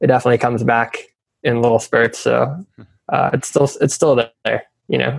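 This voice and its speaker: With an American accent, this speaker delivers the words at a fairly quick pace. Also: man. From South Africa. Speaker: travel startup founder. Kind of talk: interview.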